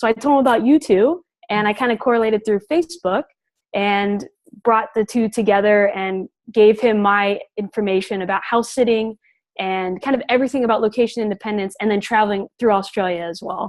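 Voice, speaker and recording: With ordinary pitch variation, a plain, everyday voice goes along at a fairly quick pace. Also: woman, fairly high pitch for a woman. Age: 20s. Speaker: house sitter. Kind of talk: panel interview.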